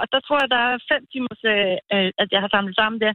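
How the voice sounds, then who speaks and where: Here a woman with a normal speaking voice talks at a fairly quick pace, her fairly high pitch showing ordinary variation. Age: 50s. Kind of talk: casual phone interview.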